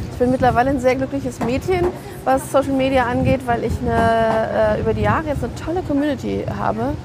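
A woman talks at a fairly quick pace with noticeable background noise. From Berlin, Germany. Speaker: stylist and author. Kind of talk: casual chat. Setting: outdoor drinks kiosk.

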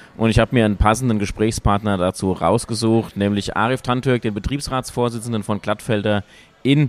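A man at a medium pitch, moderate pace and ordinary pitch variation. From Hesse, Wetterau (Wölfersheim). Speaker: podcast host, politician. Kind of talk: casual interview. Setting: café.

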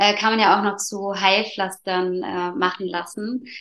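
Her tone bright and sharp, a woman speaks at a very slow pace in a monotone, flat intonation. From Allgäu, southern Germany. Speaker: placenta encapsulation practitioner. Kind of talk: interview. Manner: hesitant, many fillers.

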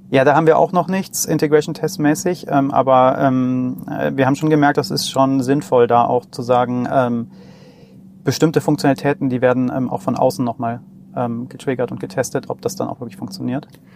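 Over noticeable background noise, a man at medium pitch talks at a moderate pace with ordinary pitch variation. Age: 40s. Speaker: startup CTO and software developer. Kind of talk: casual technical interview. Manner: hesitant, many filler sounds.

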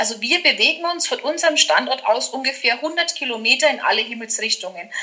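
A woman with a high pitch uses a raised, projected voice at a moderate pace amid noticeable background noise. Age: 40s. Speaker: master florist and decorator. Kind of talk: casual interview chat.

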